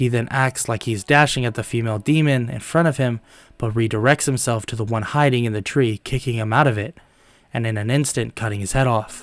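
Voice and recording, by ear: At a fairly quick pace, a man talks at a medium pitch with ordinary pitch variation and a nasal sound.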